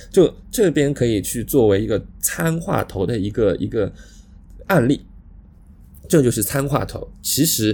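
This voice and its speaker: A man talks at a moderate pace, pausing often and at length. His tone is dark and mellow, somewhat breathy. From Shanghai. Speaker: podcast co-host. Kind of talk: casual chat. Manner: halting, many fillers.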